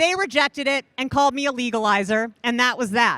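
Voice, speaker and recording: With an American accent, a woman uses a raised, projected voice that is bright and sharp, with lively intonation. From Indiana, US Midwest. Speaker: cannabis researcher. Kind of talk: conference talk. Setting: stage with audience. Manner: loud.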